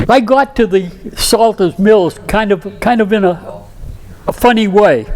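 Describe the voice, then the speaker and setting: With a Boston accent, a man speaks at a fairly slow pace in a high pitch, showing ordinary pitch variation and very even loudness. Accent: Boston-area New England. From Massachusetts, Saugus. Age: 80s+. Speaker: local historian speaker. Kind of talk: community presentation. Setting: studio with audience.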